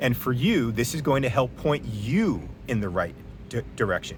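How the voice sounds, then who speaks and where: Speaking at a fairly slow pace with lively intonation, a man uses a medium pitch amid noticeable background noise. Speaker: physician. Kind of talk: casual monologue to camera.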